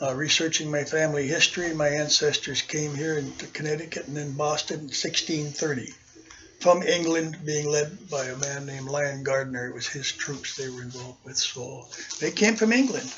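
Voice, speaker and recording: A fairly high-pitched man with an American accent at a moderate pace, ordinary pitch variation and big swings in loudness, over noticeable background noise. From Minnesota, US Upper Midwest. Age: 70s. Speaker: war veteran. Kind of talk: oral history interview.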